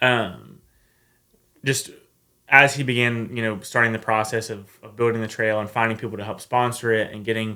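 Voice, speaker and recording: An Appalachian accent comes through in a bright, sharp tone. The delivery is monotone and flat, at a moderate pace. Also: man, medium pitch for a man. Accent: Southern US, Appalachian. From US South, north Georgia Appalachian mountains. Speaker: long-distance hiker. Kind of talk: casual interview.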